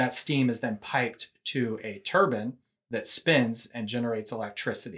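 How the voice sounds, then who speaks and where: Medium in pitch, a man talks with an unremarkable speaking voice. His pace is moderate, with ordinary pitch variation. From Texas (Houston). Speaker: nuclear energy company finance executive. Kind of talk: casual interview. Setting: video call.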